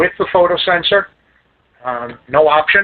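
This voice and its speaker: A man speaks fairly slowly in a New York accent. His pitch varies in an ordinary way. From Staten Island, New York. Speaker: lighting sales rep. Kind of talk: product training presentation. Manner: casual.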